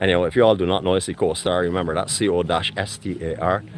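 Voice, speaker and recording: Very fast speech, dry with no echo, over faint music in the background. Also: man. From Barbados. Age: 50s. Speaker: travel vlogger. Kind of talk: live walkabout vlog with interviews. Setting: outdoors at a farmers market. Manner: animated. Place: market. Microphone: phone near.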